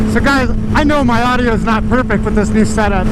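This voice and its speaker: A man at a very fast pace amid noticeable background noise and audible room echo. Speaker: motovlogger. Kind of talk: casual vlog narration while riding. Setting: riding a motorcycle. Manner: loud.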